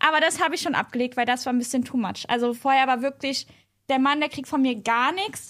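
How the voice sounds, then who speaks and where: A woman speaks in a high voice at a fairly quick pace. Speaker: podcast guest. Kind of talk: casual chat. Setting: at a host's home. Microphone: not close to the microphone.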